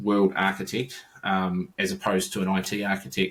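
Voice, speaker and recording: With a New Zealand accent, a man speaks in a fairly low voice. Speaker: IT consultant, former enterprise architect. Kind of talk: podcast interview. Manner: halting, many fillers and repetitions.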